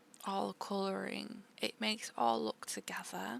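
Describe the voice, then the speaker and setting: Soft-spoken delivery at a fairly slow pace, relaxed in tone. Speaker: art content creator. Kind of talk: art tutorial voiceover.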